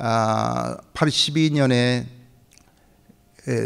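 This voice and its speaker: A man talks at a very slow pace. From Japan (Korean community in Japan). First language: Japanese (speaking Korean). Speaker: pastor. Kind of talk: sermon. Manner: halting, many fillers.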